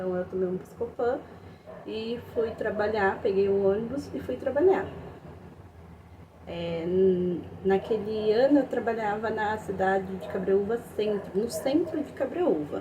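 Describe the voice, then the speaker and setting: In a room with audible echo and noticeable background noise, a woman of medium pitch talks at a fairly slow pace. Her intonation is lively, and she takes long, frequent pauses. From interior of São Paulo state, Brazil. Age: 20s. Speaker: fundraiser appealing for surgery help. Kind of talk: personal testimony. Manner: halting, with many fillers.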